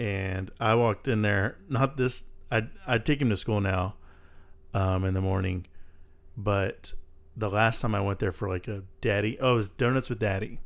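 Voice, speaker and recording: A man with an American accent talks at a moderate pace in a normal speaking voice. His pitch is fairly low and his intonation fairly even. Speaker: podcast host. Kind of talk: casual chat.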